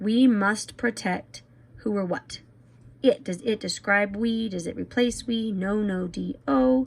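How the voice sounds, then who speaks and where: A woman speaks fairly slowly in a somewhat breathy voice, her medium pitch carrying lively intonation. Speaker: teacher. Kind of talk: tutorial.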